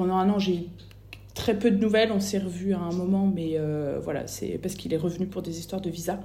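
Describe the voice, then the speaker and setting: With audible room echo, a dark, mellow, somewhat breathy voice speaks at a fairly quick pace with fairly even intonation. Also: woman, medium pitch for a woman. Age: 30s. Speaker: bereaved mother. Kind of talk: testimony. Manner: halting.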